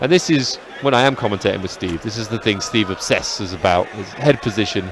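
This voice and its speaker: A man talks at a fairly quick pace with lively intonation. Noticeable background noise is present. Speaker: MMA commentator. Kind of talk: live commentary.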